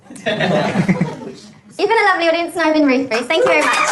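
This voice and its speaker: A high-pitched woman's voice at a fairly quick pace, with audible room echo and noticeable background noise. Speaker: dating show participant. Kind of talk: stand-up. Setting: stage with audience. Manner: loud.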